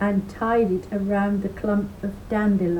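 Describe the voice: The voice is plain reading aloud. Nothing else stands out.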